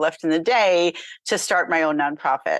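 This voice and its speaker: Against a quiet background, a woman talks in a normal speaking voice. Her pitch is fairly low. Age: 60s. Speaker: nonprofit founder and author. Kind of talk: interview.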